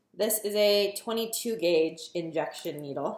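Speaking at a very slow pace, a woman is heard with audible room echo. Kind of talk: casual vlog tutorial. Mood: nervous but upbeat. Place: kitchen. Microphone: phone near.

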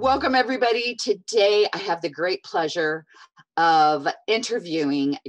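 A woman is speaking. Music plays in the background. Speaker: podcast host. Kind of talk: interview intro. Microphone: earbuds.

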